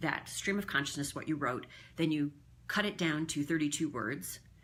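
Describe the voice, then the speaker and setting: Her pitch very deep and low with ordinary variation, a woman speaks in a bright, sharp tone. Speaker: communications coach. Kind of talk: casual talk to camera. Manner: chatty, talkative.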